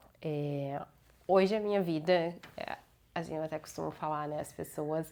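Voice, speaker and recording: On a very clean recording with a silent background, a woman's very deep, low voice carries a dark, mellow tone and fairly even intonation. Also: moderate pace. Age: 20s. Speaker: vlogger, lawyer. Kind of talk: personal vlog monologue.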